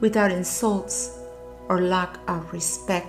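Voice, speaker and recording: A woman with a non-native accent at a very slow pace, music in the background. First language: not English. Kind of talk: personal motivational narration.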